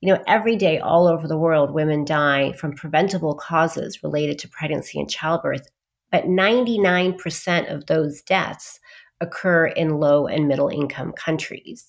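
On a very clean recording with a silent background, a woman speaks at a very deep, low pitch with ordinary pitch variation. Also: moderate pace. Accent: American. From US and London. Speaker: psychiatrist. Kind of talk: interview.

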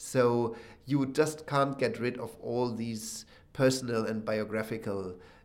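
The speaker has a German accent and ordinary pitch variation. Some room echo can be heard. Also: man. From Germany, Berlin. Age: 30s. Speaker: concert pianist. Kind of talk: interview. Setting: backstage dressing room. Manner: halting.

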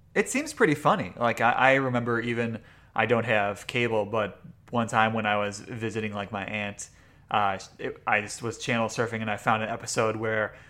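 A man talks at medium pitch in a bright, sharp tone with monotone, flat intonation. The recording is very clean, the background silent. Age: 30s. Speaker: podcast host. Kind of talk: casual chat.

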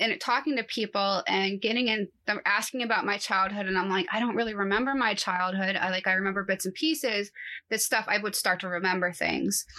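A woman with an unremarkable speaking voice at medium pitch, talking at a fairly quick pace with ordinary pitch variation. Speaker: anxiety coach. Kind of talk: interview.

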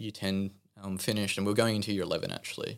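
In an Australian accent, a man speaks with a fairly low pitch. His intonation stays flat and monotone. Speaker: church member. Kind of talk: testimony.

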